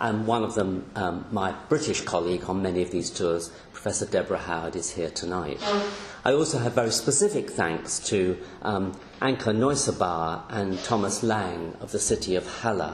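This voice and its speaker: A man speaks at a moderate pace in a fairly low voice with ordinary pitch variation. Light background noise and audible room echo surround him. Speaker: professor emeritus lecturer. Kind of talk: lecture. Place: hall.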